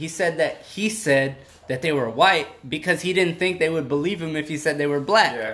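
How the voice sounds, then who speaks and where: A man with an American accent speaks in a fairly high, animated voice. His pace is moderate and his pitch variation ordinary. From South Texas. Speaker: podcast host. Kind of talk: casual chat.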